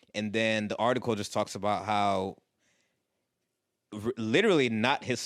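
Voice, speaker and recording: Recorded very cleanly against a silent background, a man with a normal speaking voice talks at medium pitch and a moderate pace, with ordinary pitch variation and a dry, close sound with no echo. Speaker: podcast host. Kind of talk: casual chat.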